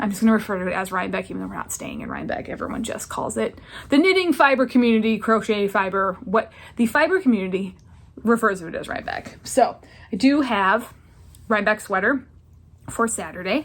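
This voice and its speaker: A woman's fairly high, lively voice with vocal fry, at a very fast pace. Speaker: knitting vlogger. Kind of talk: casual vlog chat. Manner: rambling, with fillers.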